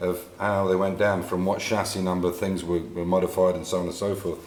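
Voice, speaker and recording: A man with a very deep, low pitch and an English accent, amid noticeable background noise and audible room echo. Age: 60s. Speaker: classic car restorer. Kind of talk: tutorial. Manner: halting.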